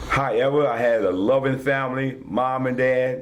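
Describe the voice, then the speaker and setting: A man with a Virginia Tidewater accent and medium pitch, with audible room echo and noticeable background noise. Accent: US Southern, Virginia Tidewater. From Virginia, Northern Neck (Whitestone). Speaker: war veteran. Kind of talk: interview.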